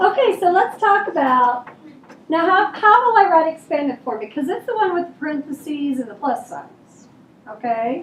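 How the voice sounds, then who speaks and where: A woman talks loudly at an extremely high pitch with very wide pitch swings. Noticeable background noise is present. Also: moderate pace. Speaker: elementary school teacher. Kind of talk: classroom review lesson. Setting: classroom.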